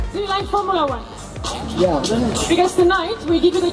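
Clear music plays behind a woman as she speaks. Her pitch is extremely high, with ordinary pitch variation. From Romania. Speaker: TV and event presenter, MC, public speaker. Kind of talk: live event host addressing an audience. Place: street. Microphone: handheld.

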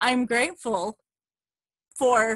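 Heard as a dry sound with no echo, a woman speaks at a fairly high pitch with fairly even intonation. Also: quiet background. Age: 30s. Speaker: fitness coach. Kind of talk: testimony. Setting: video call.

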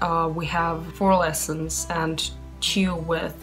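Very slow speech with clear music in the background. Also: woman. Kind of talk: casual vlog chat. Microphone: phone near.

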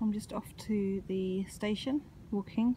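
A woman speaks at medium pitch with a dark, mellow tone.

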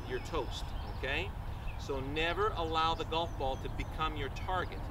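A man keeps a moderate pace while noticeable noise runs in the background. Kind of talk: tutorial. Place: open country.

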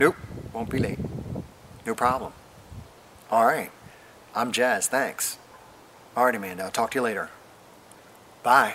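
With light background noise behind him, a man talks at a moderate pace with ordinary pitch variation and long, frequent pauses. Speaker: comedy sketch actor. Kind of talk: scripted comedy phone call. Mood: playful, comedic. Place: garden. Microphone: camera far.

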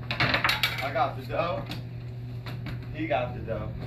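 A man speaks at a very slow pace. Loud background noise runs beneath his voice. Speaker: hype man. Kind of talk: promotional video for a local business. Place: kitchen. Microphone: camera far.

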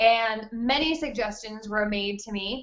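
A woman is speaking. The background is quiet. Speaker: webinar host. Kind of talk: webinar tutorial. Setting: video call from a friend's kitchen. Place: home room. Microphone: delayed online connection; webcam.

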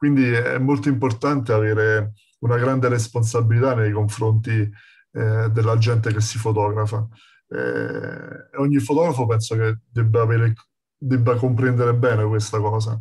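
A man talks at a moderate pace with a medium pitch and a somewhat breathy voice. His intonation is flat and monotone, his loudness very even. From Campania, Castellammare di Stabia near Naples. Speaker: street photographer. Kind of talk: lecture.

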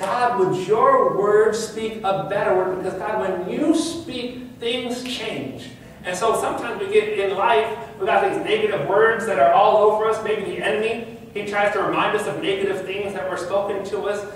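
At a moderate pace and with ordinary pitch variation, the speech carries strong room echo over light background noise. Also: man, high pitch for a man. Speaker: pastor. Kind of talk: sermon. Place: church.

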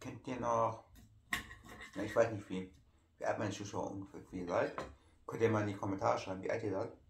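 With audible room echo, a man at a fairly low pitch speaks at a fairly quick pace, with long, frequent pauses and ordinary pitch variation. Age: 30s. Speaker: YouTuber. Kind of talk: casual vlog talk while eating. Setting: at home in living room. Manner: halting.

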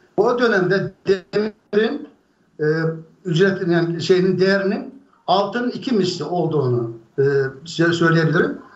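The loudness stays very even throughout, with long, frequent pauses. Room echo is audible. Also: man, high pitch for a man, moderate pace. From Aksaray, central Anatolia, Turkey; Turkey. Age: 60s. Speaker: UFO eyewitness; witness. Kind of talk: storytelling. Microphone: video call.

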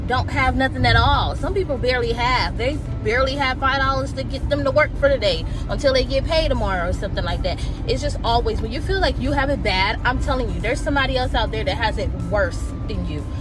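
A woman talks very fast in a dry sound with no echo, with music clearly audible behind her. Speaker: vlogger. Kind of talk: casual vlog chat. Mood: earnest, preachy opinion. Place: car. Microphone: phone near.

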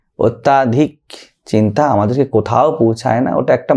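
The man's voice carries a dark, mellow tone, set against a quiet background. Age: 30s. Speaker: monk and spiritual teacher; spiritual teacher. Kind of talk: spiritual talk answering a question. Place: studio. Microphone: studio mic.

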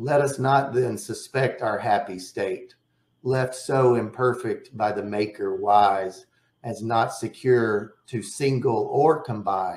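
This man talks at a very slow pace in a somewhat breathy voice. Audible echo fills the room. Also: ordinary pitch variation. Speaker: poet and poetry publisher. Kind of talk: lecture. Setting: video webinar. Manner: enthusiastic. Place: home room. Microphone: webcam.

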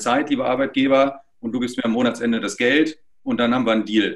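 A man is heard here. He talks at a fairly quick pace against a quiet background. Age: 40s. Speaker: social network project representative; interview guest. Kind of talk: interview. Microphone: video call.

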